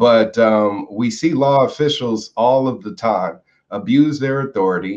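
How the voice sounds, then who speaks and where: This is an unremarkable speaking voice with lively intonation. The pace is fairly slow. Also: man. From United States. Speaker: political activist. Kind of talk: interview.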